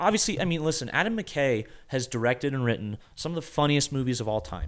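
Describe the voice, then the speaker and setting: At a fairly quick pace, a man speaks in a very clean recording with a silent background. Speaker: podcast co-host. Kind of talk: casual banter, movie review chat. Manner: animated, sarcastic, rambling.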